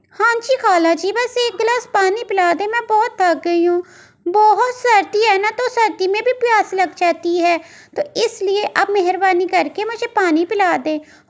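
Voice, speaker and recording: Using a cartoonish character voice, a woman speaks at a moderate pace with an extremely high pitch. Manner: polite, friendly.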